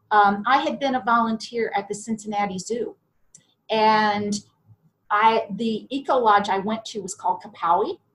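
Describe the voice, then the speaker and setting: Fairly even intonation runs through a normal speaking voice with an American accent. The pace is moderate. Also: woman, fairly high pitch for a woman. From US Midwest, southern Ohio. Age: 60s. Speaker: podcast guest, IT salesperson and business owner. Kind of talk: interview.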